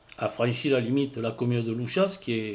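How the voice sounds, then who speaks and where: A man talking at a moderate pace. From southwestern France, Landes. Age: 50s. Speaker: villager, fire witness. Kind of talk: interview testimony. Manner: halting, hesitant.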